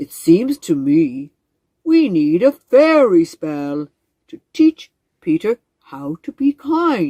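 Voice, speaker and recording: A woman uses a put-on character voice. Her pitch is fairly low, and she speaks at a very slow pace. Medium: read story. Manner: croaking, ceremonious.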